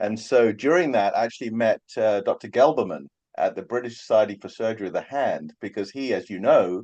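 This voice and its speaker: Talking at a fairly quick pace, a man with a London accent uses a medium pitch and lively intonation. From England, London. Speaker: hand surgeon. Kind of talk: casual interview chat.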